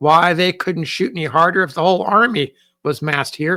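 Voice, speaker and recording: A man's put-on character voice, high in pitch and fairly quick, on a very clean recording with a silent background. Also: ordinary pitch variation. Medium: read story. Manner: muttering to himself.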